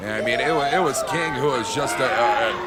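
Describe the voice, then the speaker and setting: There is crowd noise in the background. A man speaks at a moderate pace with lively intonation. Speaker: wrestling commentator. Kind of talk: live sports play-by-play commentary.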